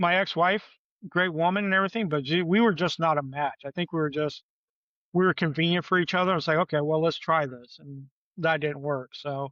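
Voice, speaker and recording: Against a quiet background, a man with an American accent and a fairly high pitch talks at a fairly quick pace in an ordinary speaking voice, with ordinary pitch variation. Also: dry, close sound with no echo. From Michigan. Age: 50s. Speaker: podcast guest. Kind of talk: casual chat.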